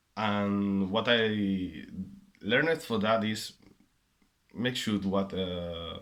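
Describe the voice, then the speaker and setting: A man's fairly low, very slow speech, ordinary in pitch variation, with long, frequent pauses. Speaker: vinyl collector making a contest video. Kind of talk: casual monologue answering questions. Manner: halting, with many fillers and repeats.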